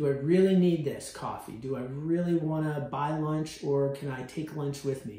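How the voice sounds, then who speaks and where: Energetic in tone, a man with a fairly high pitch is heard over noticeable background noise and audible room echo. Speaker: university financial literacy educator. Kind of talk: informal educational talk to students. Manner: fast; energetic, conversational.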